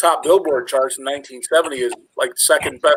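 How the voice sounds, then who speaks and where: A man with an American accent talks fairly quickly in a normal speaking voice, pitched fairly high with fairly even intonation. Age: 40s. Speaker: metal fan guest. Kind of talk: casual chat.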